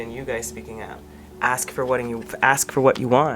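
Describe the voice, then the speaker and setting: Lively intonation carries this voice through noticeable background noise. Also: woman. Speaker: tarot card reader. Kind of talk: tarot reading monologue. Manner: intense, demanding tone; conversational, with many false starts.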